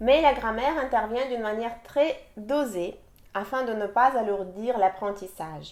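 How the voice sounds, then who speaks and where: With a Russian accent, a woman speaks at a fairly high pitch with ordinary pitch variation. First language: Russian (speaking French). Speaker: language teacher. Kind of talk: sales pitch.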